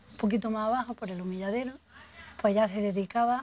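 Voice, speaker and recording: Ordinary pitch variation at a moderate pace. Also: woman. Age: 50s. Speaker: local resident interviewee. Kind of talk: oral history testimony. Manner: halting.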